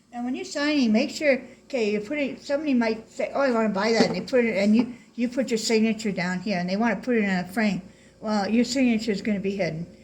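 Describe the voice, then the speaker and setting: Talking at a very fast pace, a woman uses a fairly high pitch. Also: ordinary pitch variation. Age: 60s. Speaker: painting instructor. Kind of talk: tutorial. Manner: casual, chatty.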